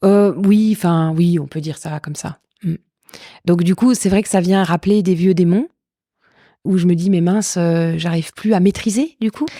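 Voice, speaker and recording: Fairly low female voice with a dark, mellow tone and ordinary pitch variation, long, frequent pauses, and a dry, close sound with no echo. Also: moderate pace. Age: 40s. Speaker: stage comedian. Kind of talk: interview answer. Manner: frank, candid.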